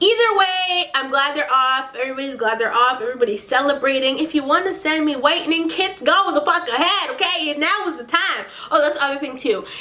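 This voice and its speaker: The voice is raised and projected, with lively intonation and a fairly quick pace. Room echo is audible and background noise is noticeable. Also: woman, high pitch for a woman. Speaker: beauty vlogger. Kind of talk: casual vlog monologue. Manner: animated.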